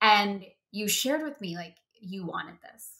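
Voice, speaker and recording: Here is a woman with an American accent, her tone animated, bright and sharp. The background is quiet. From US. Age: 40s. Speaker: podcast host. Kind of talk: interview; podcast intro. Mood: warm, encouraging. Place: home room. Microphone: webcam.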